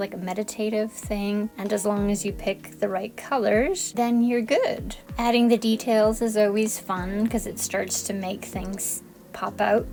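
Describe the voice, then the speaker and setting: Music plays behind a woman speaking at a moderate pace with hardly any pauses. Her fairly high voice has a calm, relaxed tone and monotone, flat intonation. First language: Spanish. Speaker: art YouTuber. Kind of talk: voiceover commentary on painting tutorial.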